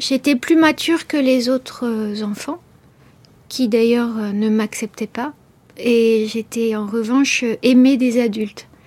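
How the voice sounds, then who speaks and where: Over noticeable background noise, a woman talks very slowly with fairly even intonation. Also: fairly high pitch for a woman. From France, Beauce region. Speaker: writer. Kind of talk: radio interview. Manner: halting, many hesitations.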